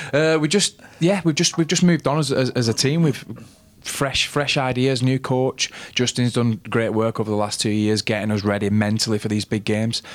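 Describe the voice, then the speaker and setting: The speaker has a northern English accent, lively intonation and very even loudness. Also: man, medium pitch for a man, moderate pace. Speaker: rugby league player. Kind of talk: casual sports chat.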